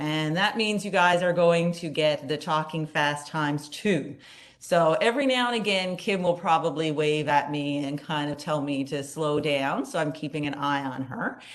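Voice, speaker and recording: A woman with a Newfoundland accent speaks at a moderate pace with hardly any pauses, her pitch very deep and low with ordinary variation. Audible room echo surrounds her voice. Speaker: psychology professor and conference co-chair. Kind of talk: conference opening remarks.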